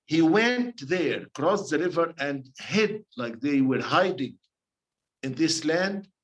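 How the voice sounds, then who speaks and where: A man's high-pitched voice with an Arabic accent and very wide pitch swings. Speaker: priest leading a bible study. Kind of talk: bible study teaching. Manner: halting, self-correcting.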